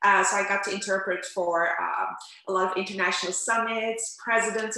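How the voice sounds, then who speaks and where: A woman with a Turkish accent and medium pitch speaks in a monotone, flat intonation, with audible room echo and noticeable background noise. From Netherlands, Amsterdam. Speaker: interpreter and language coach. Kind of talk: interview.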